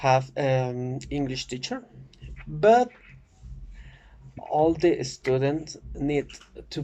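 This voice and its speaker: Speaking very slowly, a man has a Spanish accent. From Oaxaca, Mexico. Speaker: student. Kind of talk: class presentation. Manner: halting, many fillers.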